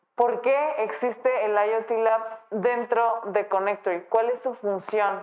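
A woman speaks at a very slow pace. Her fairly high voice keeps a very even loudness. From Guadalajara, Mexico. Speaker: podcast host. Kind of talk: interview. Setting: studio.

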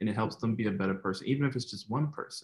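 This is an unremarkable speaking voice from a man with an American accent, pitched in the medium range with ordinary pitch variation. The recording is very clean, the background silent. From New Jersey, US. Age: 20s. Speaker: motivational speaker. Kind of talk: interview testimony.

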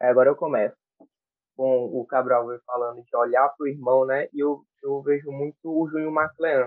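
Using an unremarkable speaking voice, a man talks at a moderate pace in a fairly high pitch with fairly even intonation. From Brazil, Piauí. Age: 20s. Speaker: church music ministry coordinator. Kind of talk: casual chat.

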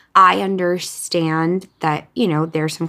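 A woman speaks with an American accent in an ordinary speaking voice. Her pitch is fairly low, with ordinary pitch variation and a moderate pace. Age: 30s. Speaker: podcast host and author. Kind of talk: casual monologue. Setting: at home, windows open.

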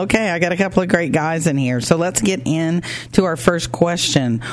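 With an American accent, a woman speaks at a moderate pace in an animated, upbeat tone with ordinary pitch variation over noticeable background noise. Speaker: radio host. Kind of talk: radio interview. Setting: studio.

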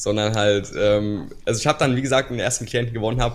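A man talks at a very fast pace. His fairly low pitch keeps a fairly even intonation. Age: 20s. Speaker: business coach and video creator. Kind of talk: podcast interview. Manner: hesitant, many filler sounds.

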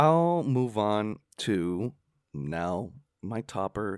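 Very slowly and in a playful tone, a man speaks with very wide pitch swings, the sound dry and close with no echo. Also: very clean recording, silent background. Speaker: podcast host. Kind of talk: casual banter. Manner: joking, playful.

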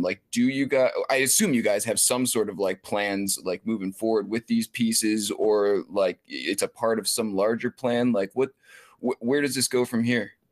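A man's normal speaking voice at medium pitch, moderate pace and ordinary pitch variation, with a dry, close sound and no echo. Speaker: podcast co-host. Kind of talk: casual chat. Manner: laid-back, casual.

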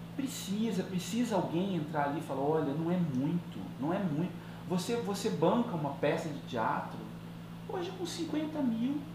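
A man's high-pitched voice at a moderate pace with ordinary pitch variation, audible room echo and noticeable background noise. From Cuiabá, Mato Grosso, Brazil. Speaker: filmmaker and theatre director. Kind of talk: casual interview.

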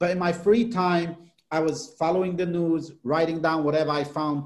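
A man's fairly high pitch with ordinary pitch variation at a moderate pace. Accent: non-native. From outside the US. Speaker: political journalist. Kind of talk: interview.

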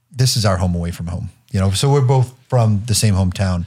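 In an American accent, a man with a very deep, low pitch talks at a fairly quick pace. His tone is dark and mellow and somewhat breathy. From Massachusetts (Newburyport, north of Boston). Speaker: Air Force colonel. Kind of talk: interview conversation. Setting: studio.

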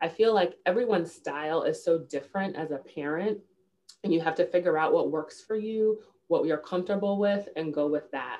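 An American accent marks this woman's ordinary speaking voice as she talks at a fairly quick pace. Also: fairly low pitch for a woman, ordinary pitch variation. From New York, the Bronx. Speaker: diversity professional and children's author. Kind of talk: interview.

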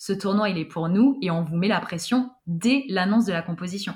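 The voice is somewhat breathy. It belongs to a woman and sits at a medium pitch. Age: 20s. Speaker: stadium announcer and master of ceremonies. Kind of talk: casual interview. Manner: halting, repeats words.

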